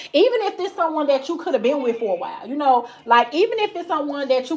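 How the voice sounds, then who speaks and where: Very wide pitch swings at a very fast pace. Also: woman. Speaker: tarot reader. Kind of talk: live tarot reading. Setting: livestream.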